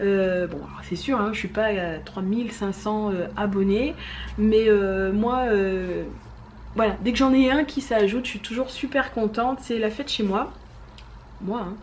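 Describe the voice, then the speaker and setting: At a fairly slow pace and fairly high pitch, a woman talks with ordinary pitch variation through audible room echo and noticeable background noise. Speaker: knitting vlogger. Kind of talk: casual chat.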